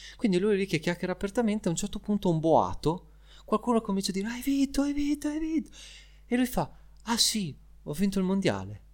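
A man talks at a very fast pace in a high, animated voice with lively intonation, yet with long, frequent pauses. The recording is very clean, with a silent background. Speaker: podcast co-host explaining Formula 1. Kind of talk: casual chat.

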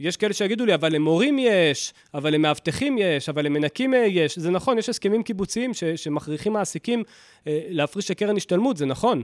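This man's voice sits high in pitch. He talks fairly quickly with lively intonation. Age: 30s. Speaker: personal finance podcaster. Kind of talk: solo podcast monologue.

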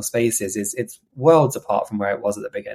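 A man is talking. His pitch is medium. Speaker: podcast host. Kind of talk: casual chat. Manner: chatty.

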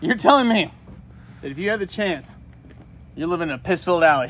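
This man's voice sits fairly high in pitch. He speaks at a fairly quick pace. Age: 30s. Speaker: podcast co-host. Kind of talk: casual chat.

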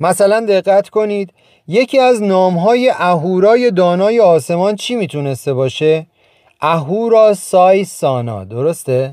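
Very slowly, a man speaks in a high pitch with lively intonation. His tone is dark and mellow. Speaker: author reading from his own book as a podcast. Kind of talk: scripted narration.

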